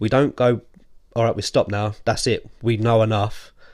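A man speaks with an English accent at a medium pitch. His intonation is fairly even, and the background is quiet. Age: 30s. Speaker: podcast guest, host's friend. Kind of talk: casual chat.

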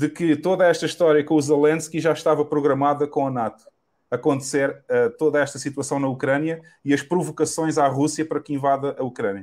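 In a very clean recording with a silent background, a man speaks with a European Portuguese accent. His pitch is fairly high and his intonation fairly even. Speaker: podcast host, bitcoin advocate. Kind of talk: casual interview chat.

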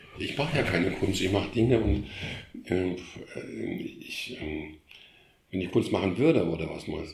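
A man's very deep, low voice, somewhat breathy, with lively intonation, a moderate pace, long, frequent pauses and audible room echo. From Germany, Krefeld (Lower Rhine). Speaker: art historian and former museum curator. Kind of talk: casual interview. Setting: in his living room at home. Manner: halting, many repetitions.

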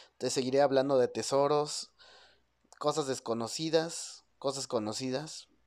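A man's medium-pitched voice at a moderate pace, with ordinary pitch movement, in a very clean recording with a silent background. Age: 30s. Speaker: podcast host. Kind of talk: solo podcast monologue.

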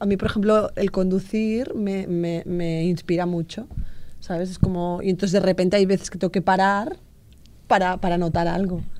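Her tone dark and mellow, a woman speaks at medium pitch and a moderate pace with fairly even intonation. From Sabadell, Catalonia. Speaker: storyteller. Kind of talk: casual chat.

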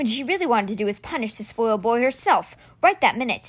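Lively intonation marks the unforced reading voice.

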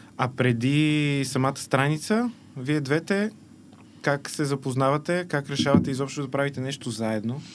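A normal speaking voice from a man, fairly high in pitch, with ordinary pitch variation at a moderate pace. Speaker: podcast host. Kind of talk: casual interview. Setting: studio.

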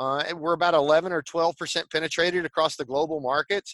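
A man speaks with a high pitch and a strong Texan accent. The sound is dry and close with no echo, over a quiet background. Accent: Texan Southern drawl, strong. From Texas. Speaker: tech company executive and evangelist. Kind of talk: interview.

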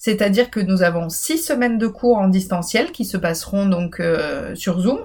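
At a fairly slow pace, a woman speaks at a medium pitch with lively intonation. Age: 30s. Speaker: university program director and podcast host. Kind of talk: informational solo podcast. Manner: hesitant with fillers.

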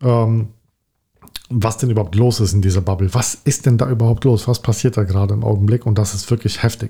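This man's voice sits fairly low, with a dark, mellow tone and a somewhat breathy quality. His intonation stays fairly even. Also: fairly quick pace. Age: 40s. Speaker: podcast co-host. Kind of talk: casual chat.

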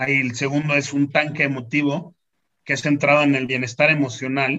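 A fairly high-pitched man's voice with a bright, sharp tone at a moderate pace. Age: 40s. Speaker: lawyer and foundation founder. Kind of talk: interview. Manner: halting, with frequent repeated words.

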